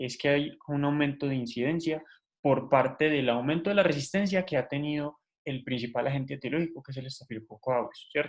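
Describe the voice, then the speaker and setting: This man's voice is fairly high in pitch. He speaks at a fairly quick pace. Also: fairly even intonation. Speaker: medical student tutor. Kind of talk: lecture. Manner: fast.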